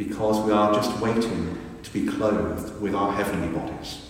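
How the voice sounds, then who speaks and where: A man at a fairly low pitch and fairly slow pace, monotone and flat in intonation, over noticeable background noise. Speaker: priest. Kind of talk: eulogy sermon, affectionate tribute with gentle self-deprecating humour. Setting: church. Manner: warm, wry and conversational; earnest, reflective and measured.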